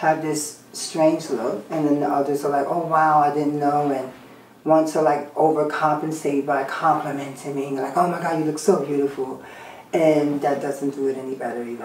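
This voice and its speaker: A woman's very deep, low pitch, monotone and flat, at a moderate pace, with audible room echo and light background noise. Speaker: interviewee. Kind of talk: interview answer. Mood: candid, slightly wry. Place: home room.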